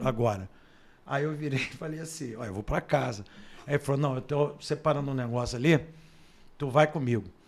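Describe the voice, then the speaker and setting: Fairly quick speech from a man, fairly high in pitch with ordinary pitch variation. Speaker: radio announcer and sports journalist. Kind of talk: casual interview storytelling. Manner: animated.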